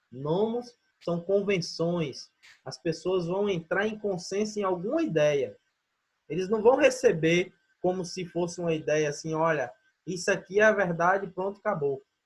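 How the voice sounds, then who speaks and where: Ordinary pitch variation marks this fairly slowly paced speech. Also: man, high pitch for a man. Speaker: teacher. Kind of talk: online lecture.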